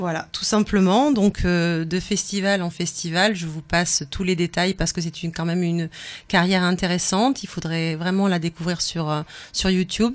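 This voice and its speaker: At a moderate pace, a woman talks in an ordinary speaking voice, fairly low in pitch with fairly even intonation. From pied-noir family. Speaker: radio co-host. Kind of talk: casual chat. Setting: studio.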